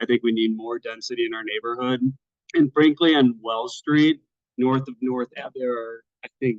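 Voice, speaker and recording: A man talks at a moderate pace in a normal speaking voice. His pitch sits in the medium range, and his intonation stays fairly even. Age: 20s. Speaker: resident speaking at community meeting. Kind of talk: public comment. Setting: virtual meeting.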